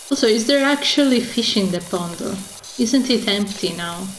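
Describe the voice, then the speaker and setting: Against noticeable background noise, a woman talks at a moderate pace. Her intonation is lively. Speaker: video game streamer. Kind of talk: casual gameplay commentary.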